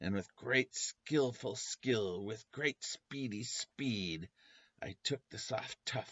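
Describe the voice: Plain reading aloud, quiet all around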